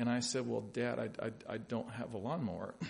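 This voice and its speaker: Medium-pitched male speech with audible room echo, moderately paced. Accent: American. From US South, Louisville, Kentucky. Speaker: pastor. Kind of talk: sermon. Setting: church.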